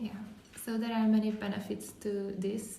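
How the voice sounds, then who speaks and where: A woman with a Hungarian accent speaks at a medium pitch in a monotone, flat intonation. There is audible room echo and noticeable background noise. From Hungary. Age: 20s. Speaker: podcast host, volunteer. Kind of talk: casual podcast chat.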